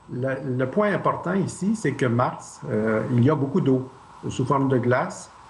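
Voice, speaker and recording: With lively intonation and a fairly slow pace, a man is heard amid audible room echo and noticeable background noise. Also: medium pitch for a man. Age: 60s. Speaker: Mars mission candidate. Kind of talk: TV interview. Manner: hesitant.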